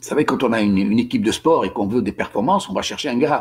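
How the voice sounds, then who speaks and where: A man with a Tunisian accent talks at a fairly quick pace, his pitch swinging very widely, with vocal fry. The recording is very clean over a silent background. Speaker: author and commentator on history. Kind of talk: informal lecture. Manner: halting, many repetitions and hesitations.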